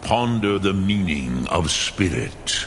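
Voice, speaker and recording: A man puts on a character voice, very deep and low, with a solemn tone. He speaks at a fairly slow pace over clear background noise. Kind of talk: ancient wise mentor. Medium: video game. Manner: slow, measured, solemn.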